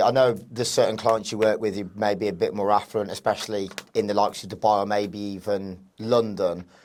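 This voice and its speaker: Speaking with an English accent, a man uses a fairly low pitch and fairly even intonation at a fairly quick pace. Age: 30s. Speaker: podcast host. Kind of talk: interview. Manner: monotone.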